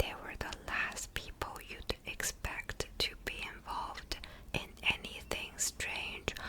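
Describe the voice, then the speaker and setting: A woman whispering at a very slow pace, with noticeable background noise. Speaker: ASMR creator. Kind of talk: whispered book reading for sleep. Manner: whispered, soft.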